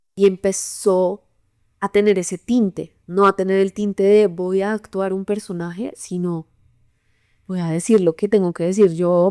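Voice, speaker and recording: A woman speaks in a medium pitch with monotone, flat intonation. The sound is dry and close, with no echo. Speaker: stage actress. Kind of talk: interview testimony. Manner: calm, not loud.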